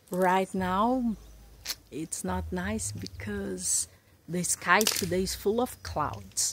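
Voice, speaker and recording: The speech moves at a very slow pace, with noticeable background noise and a dry sound that has no echo. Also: woman. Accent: Portuguese. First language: Portuguese. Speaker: YouTuber building a house. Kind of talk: casual vlog narration. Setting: outdoors at a building lot. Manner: repeats and stumbles over words. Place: open country. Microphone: phone near.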